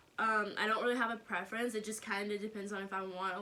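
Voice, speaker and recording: Noticeable background noise sits behind a woman with an American accent, medium pitch and fairly even intonation. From US South, North Carolina. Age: 20s. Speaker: YouTuber. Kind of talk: casual vlog Q&A. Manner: casual, many fillers.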